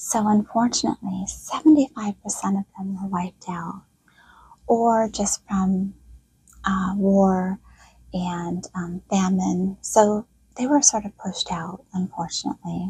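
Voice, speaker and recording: A soft-spoken woman talks at a fairly slow pace with a medium pitch and ordinary pitch variation. Her loudness swings widely, in a dry, close sound with no echo. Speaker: history storyteller. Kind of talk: relaxing quiet narration. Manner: quiet.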